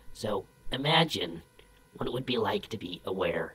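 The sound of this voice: A low-pitched cartoonish character voice at a moderate pace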